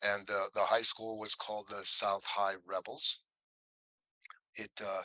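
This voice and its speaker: A man with a Midwestern American accent, in a dry, close sound with no echo. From Ohio, Willoughby near Cleveland. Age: 60s. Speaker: actor. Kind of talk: casual interview.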